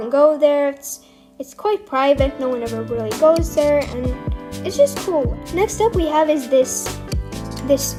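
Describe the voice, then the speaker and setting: Music plays in the background as a woman speaks at a fairly slow pace. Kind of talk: casual unscripted game commentary. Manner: hesitant, stuttering.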